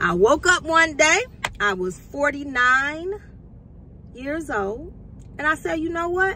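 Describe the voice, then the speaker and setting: Over noticeable background noise, a woman uses a raised, projected voice at a high pitch with very wide pitch swings, speaking very slowly with long, frequent pauses. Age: 50s. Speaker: culinary student and vlogger. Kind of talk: casual motivational vlog.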